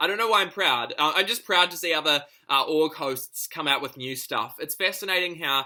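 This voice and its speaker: Speaking with a New Zealand accent, a man has a bright, sharp tone and a fairly high pitch. He talks at a fairly quick pace with ordinary pitch variation. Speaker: online reality game player. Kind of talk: video confessional. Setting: home lounge.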